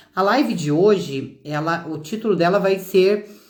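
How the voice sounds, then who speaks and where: A woman with a medium pitch speaks at a very slow pace, with audible room echo. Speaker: citizenship consultant. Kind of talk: live stream talk. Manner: halting.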